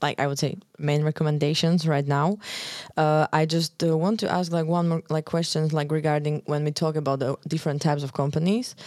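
A woman with a Slovak accent and a very deep, low pitch talks at a fairly quick pace with very even loudness. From Slovakia. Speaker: podcast host. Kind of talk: interview. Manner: hesitant, many fillers.

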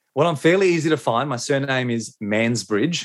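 On a very clean recording with a silent background, a man with an Australian accent talks at a moderate pace with ordinary pitch variation. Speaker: pastor and author. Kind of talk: interview. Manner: halting.

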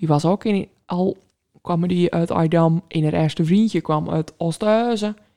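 A woman speaks at a moderate pace with a fairly low pitch, ordinary pitch variation and a dark, mellow tone. The sound is dry and close, with no echo. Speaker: podcast co-host. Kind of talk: casual chat.

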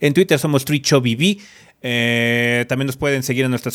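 A man with a Mexican accent, medium in pitch, at a moderate pace with fairly even intonation. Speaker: podcast host. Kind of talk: casual chat.

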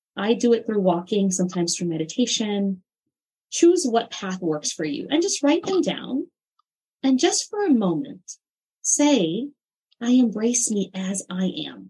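Pitched fairly high, a woman speaks at a fairly slow pace in a somewhat breathy voice with a dark, mellow tone and very wide pitch swings. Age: 40s. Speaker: holistic healer and therapist. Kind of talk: interview.

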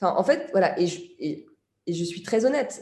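With audible room echo, a woman speaks in a dark, mellow tone at medium pitch and with lively intonation. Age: 40s. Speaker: journalist and author. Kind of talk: interview.

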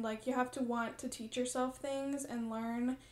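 A woman with an American accent speaks at a high pitch and a fairly slow pace. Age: 20s. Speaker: small business owner. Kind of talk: casual chat.

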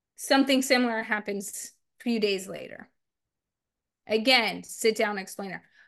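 With an American accent, a woman speaks at a fairly slow pace in a bright, sharp tone, fairly high in pitch with ordinary pitch variation. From US Northeast (South Jersey). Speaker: entrepreneur and podcast host. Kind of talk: interview conversation.

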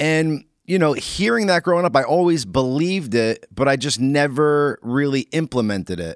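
A man's fairly high-pitched, a normal speaking voice with lively intonation, at a moderate pace with hardly any pauses, in a dry, close recording with no echo and a very clean, silent background. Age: 40s. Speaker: comedian and podcaster. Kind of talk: casual chat.

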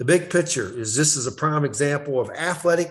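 A man speaks at a moderate pace with lively intonation and a somewhat breathy voice. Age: 50s. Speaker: sports journalist. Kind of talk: casual chat.

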